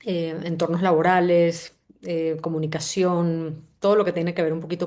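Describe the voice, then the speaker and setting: A woman with a Venezuelan accent talks at a moderate pace in a dark, mellow tone, her pitch fairly low and her intonation fairly even. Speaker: CEO of an organizational culture agency, book club host. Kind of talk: online book summary session. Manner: halting, with frequent fillers and repetitions.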